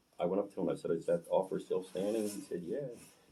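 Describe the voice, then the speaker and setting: A man with an American accent. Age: 60s. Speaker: podcast guest, former addict in recovery. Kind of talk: personal testimony in casual interview. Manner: halting, many fillers.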